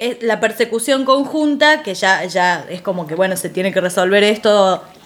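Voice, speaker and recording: With lively intonation and noticeable background noise, a woman talks at a moderate pace in a fairly high voice. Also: hardly any pauses. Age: 40. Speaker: psychologist. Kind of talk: casual chat.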